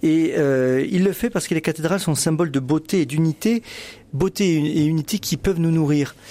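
Here a man talks at a moderate pace in a fairly high pitch with ordinary pitch variation. His tone is dark and mellow, and his loudness stays very even. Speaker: newspaper editor-in-chief, religion. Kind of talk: radio panel discussion. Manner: halting, frequent repetitions.

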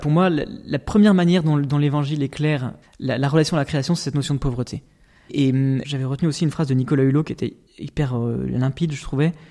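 A dark, mellow tone at a very fast pace, with fairly even intonation. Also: man, fairly high pitch for a man. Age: 20s. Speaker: architect. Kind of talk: interview. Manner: halting.

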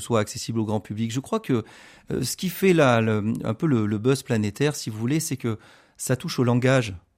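A man at medium pitch speaks at a moderate pace with lively intonation, the sound dry and close with no echo on a very clean recording with a silent background. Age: 40s. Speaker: computer scientist. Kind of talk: radio interview. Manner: halting.

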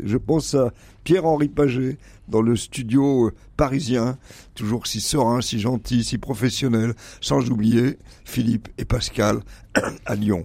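Fairly slowly, the man talks in a dark, mellow tone. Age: 70s. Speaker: radio columnist, retired professor. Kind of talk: radio chronicle.

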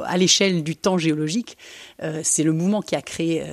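On a very clean recording with a silent background, a woman with a very deep, low pitch and vocal fry speaks at a moderate pace with fairly even intonation. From Belgium. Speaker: architect, cellist and travel writer. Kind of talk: interview. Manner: hesitant, many fillers.

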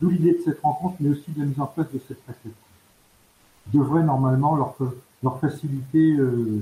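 This man's voice is somewhat breathy, with a dark, mellow tone and a fairly high pitch, broken by long, frequent pauses. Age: 60s. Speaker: charity volunteer, retired banker. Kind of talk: radio interview. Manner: halting, with many hesitations.

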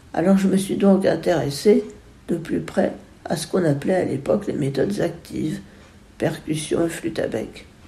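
With audible room echo, a dark, mellow voice with vocal fry uses lively intonation and leaves long, frequent pauses. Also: woman, fairly low pitch for a woman, moderate pace. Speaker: musician, composer and retired music teacher. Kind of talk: interview testimony. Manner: halting, with frequent word repetitions.

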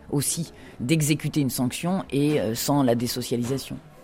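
With a very deep, low pitch and ordinary pitch variation, a woman speaks in a dark, mellow tone. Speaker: prison director and author. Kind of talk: interview.

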